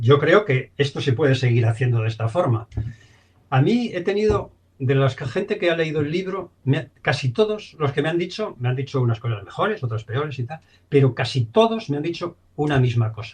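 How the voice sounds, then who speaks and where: Very wide pitch swings fill this man's fairly high voice. He sounds somewhat breathy and moves at a moderate pace. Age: 70s. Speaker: film director. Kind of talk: interview.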